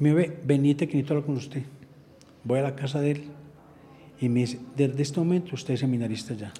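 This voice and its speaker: The speaker goes at a very fast pace with fairly even intonation. Long pauses come often. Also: man, fairly high pitch for a man. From Antioquia, Colombia (Andes). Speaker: parish priest. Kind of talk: interview.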